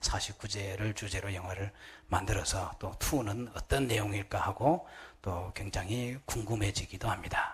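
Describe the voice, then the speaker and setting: A man with a slight Gyeongsang accent speaks at a fairly slow pace in a fairly low pitch. His voice is somewhat breathy, and his intonation is fairly even. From Gyeongsang Province, Korea. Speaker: Buddhist monk. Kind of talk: sermon.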